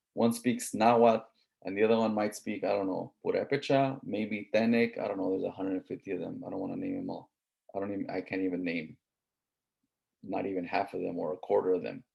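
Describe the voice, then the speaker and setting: A man talks at a very fast pace. He speaks with a Southern California accent. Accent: Southern Californian English. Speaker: college instructor. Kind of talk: lecture. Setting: online class with screen share. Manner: casual, conversational.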